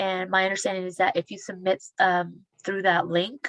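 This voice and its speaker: Recorded dry and close with no echo, a woman speaks at a medium pitch. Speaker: small business case manager. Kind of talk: webinar Q&A. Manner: fast.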